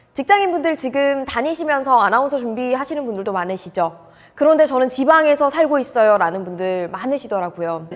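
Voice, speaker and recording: A high-pitched woman at a fairly quick pace, with very wide pitch swings. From North Gyeongsang, Korea. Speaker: announcer coach. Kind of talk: casual talk to camera.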